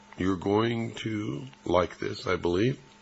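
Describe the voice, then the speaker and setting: A man speaks very slowly while noticeable background noise runs underneath. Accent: American. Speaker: radio host. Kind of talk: radio interview.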